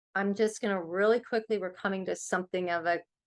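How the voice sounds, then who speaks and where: An ordinary speaking voice with an American accent moves at a fairly quick pace. The intonation stays fairly even over a quiet background. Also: woman. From US West Coast, Los Angeles. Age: 60s. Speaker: author and interfaith organization leader. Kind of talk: workshop presentation.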